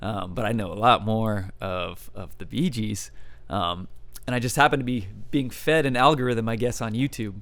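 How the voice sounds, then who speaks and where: A man with a medium-pitched voice speaks at a moderate pace with ordinary pitch variation, and the room echo is audible. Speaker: musician. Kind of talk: interview. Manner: casual, many fillers.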